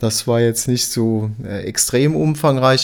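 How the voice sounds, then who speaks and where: A man speaks at a fairly slow pace in a medium pitch. Noticeable background noise can be heard. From Saarland, Germany (Dillingen). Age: 60s. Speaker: art educator, museum expert. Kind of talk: interview, expert explanation.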